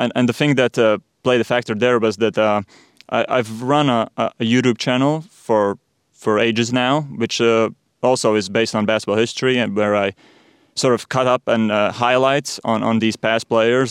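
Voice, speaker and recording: A man with a Latvian accent speaks in a medium pitch at very even loudness, the sound dry and close with no echo over a quiet background. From Latvia, Riga. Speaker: sports podcaster. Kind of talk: interview. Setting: studio. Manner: halting.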